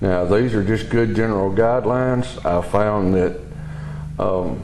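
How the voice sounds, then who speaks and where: With a strong Southern US accent, the speaker goes at a fairly slow pace with ordinary pitch variation and very even loudness, amid noticeable background noise and audible room echo. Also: man, fairly low pitch for a man. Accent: heavy Southern US. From US South (Southeast). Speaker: welding hobbyist reviewing equipment. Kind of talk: product review demonstration. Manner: casual, hesitant with fillers.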